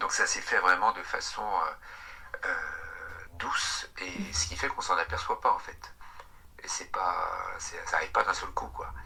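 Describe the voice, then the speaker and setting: A very slow-talking man over plainly audible background noise. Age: 50s. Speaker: recovered alcoholic sharing testimony. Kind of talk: interview testimony. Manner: hesitant, many fillers and repetitions.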